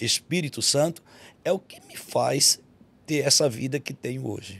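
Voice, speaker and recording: Speaking fairly slowly with a Bahian accent, a man has a fairly high pitch and ordinary pitch variation. His loudness swings widely. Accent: Bahian Brazilian. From Bahia, Brazil. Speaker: pastor. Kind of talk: testimony.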